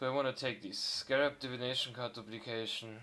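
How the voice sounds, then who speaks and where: A man talks at a fairly slow pace with fairly even intonation. Noticeable background noise runs underneath. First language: not English. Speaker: video game streamer. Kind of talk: gameplay commentary. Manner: casual, hesitant with fillers.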